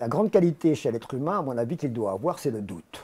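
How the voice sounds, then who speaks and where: In a very clean recording with a silent background, a man with a dark, mellow, somewhat breathy tone speaks at a moderate pace with very wide pitch swings. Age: 70s. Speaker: satirical cartoonist. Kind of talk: interview.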